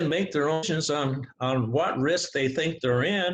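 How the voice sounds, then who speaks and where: A man speaks in a somewhat breathy voice pitched fairly high. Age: 80s+. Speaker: expert guest in a debate. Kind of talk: discussion / debate. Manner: animated.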